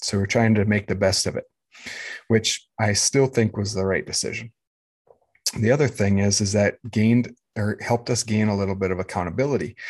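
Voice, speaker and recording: Someone with an American accent talks at a fairly quick pace with fairly even intonation and long, frequent pauses over a quiet background. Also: man, fairly low pitch for a man. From US Midwest, rural Minnesota. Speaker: podcast host. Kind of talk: solo monologue. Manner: many hesitations.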